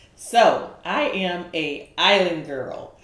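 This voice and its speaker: A woman talks at a fairly low pitch. Noticeable background noise runs under her voice. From Bahamas, Nassau; moved to US at seven. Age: 50s. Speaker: author and community leader. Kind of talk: interview podcast.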